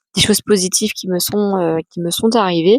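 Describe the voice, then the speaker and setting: Flat, monotone delivery from a woman at medium pitch, dry and close with no echo. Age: 30s. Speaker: adoptee and author giving talks. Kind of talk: personal testimony vlog. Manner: hesitant, many fillers.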